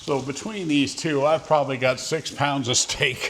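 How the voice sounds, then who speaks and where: A man talks in a relaxed tone with an American accent. Noticeable background noise can be heard. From northern Vermont, US. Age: 60s. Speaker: keto vlogger. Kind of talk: casual vlog monologue. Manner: relaxed, rambling with fillers.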